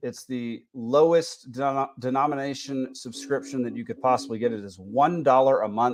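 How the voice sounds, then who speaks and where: The man talks with an American accent. The pitch of his voice varies in an ordinary way. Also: quiet background. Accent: Texas accent, thicker when back home. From Texas. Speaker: podcast host. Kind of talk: casual podcast chat. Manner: halting, many fillers.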